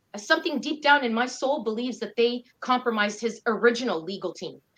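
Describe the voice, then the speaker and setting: Speaking at a moderate pace, a woman with a plain, everyday voice and fairly high pitch shows ordinary pitch variation. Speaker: activist fundraiser. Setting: video call.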